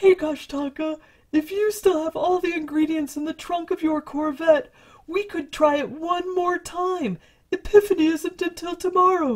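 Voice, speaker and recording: In a put-on character voice pitched extremely high, the speaker goes at a fairly slow pace. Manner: casual, swaggering.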